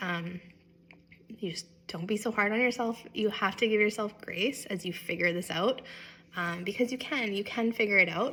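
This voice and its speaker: Her pitch is medium and it varies in an ordinary way. This woman has an ordinary speaking voice and a moderate pace. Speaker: vlogger sharing illness experience. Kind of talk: personal vlog talk to camera.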